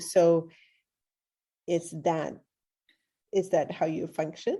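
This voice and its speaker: Against a quiet background, a woman with a Swedish accent speaks in a fairly low pitch with a dark, mellow tone. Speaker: podcast host. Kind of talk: interview conversation.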